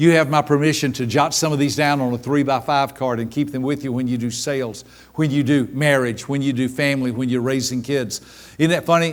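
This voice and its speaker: A man talks at a fairly quick pace in a fairly high voice. His tone is animated. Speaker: seminar speaker on personality styles. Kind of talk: live workshop talk. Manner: fast.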